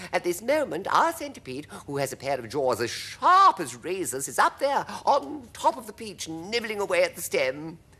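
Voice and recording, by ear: A man uses a put-on character voice, high-pitched with a bright, sharp tone and very wide pitch swings. He keeps a moderate pace with few pauses.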